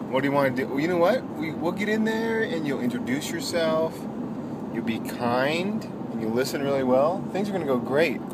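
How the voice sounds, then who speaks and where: Loud background noise surrounds a man talking at a moderate pace, with a dry sound and no echo. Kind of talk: casual family chat. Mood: warm, encouraging. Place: car. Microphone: phone near.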